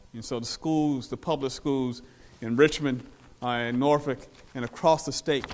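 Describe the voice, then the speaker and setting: Fairly quick and monotone, with flat intonation, a man at a medium pitch speaks with an American accent. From Virginia, US South. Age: 50s. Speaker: historian. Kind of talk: lecture. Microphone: no microphone.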